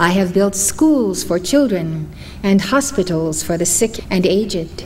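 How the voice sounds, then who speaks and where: Fairly slow speech over light background noise. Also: woman. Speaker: spiritual teacher. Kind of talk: lecture reading a story. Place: hall. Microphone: podium.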